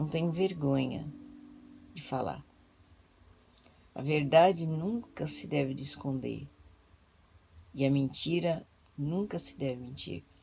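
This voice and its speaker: A woman with a very deep, low pitch and lively intonation speaks at a very slow pace, leaving long, frequent pauses. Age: 60s. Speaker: pastor. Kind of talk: testimony. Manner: halting.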